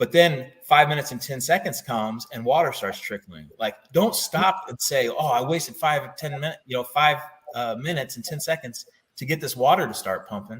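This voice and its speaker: A man with a plain, everyday voice speaks in an American accent at a fairly quick pace. His pitch is fairly high, with ordinary pitch variation. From US Midwest. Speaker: Marine veteran and knife company owner. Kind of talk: interview. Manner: casual, filler-heavy.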